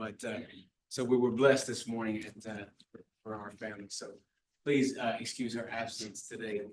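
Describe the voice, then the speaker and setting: In an ordinary speaking voice with an American accent, the speaker moves at a fairly quick pace with fairly even intonation. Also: man. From US South (New Orleans, South Florida). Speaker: pastor, charity officer. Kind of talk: public talk at board meeting.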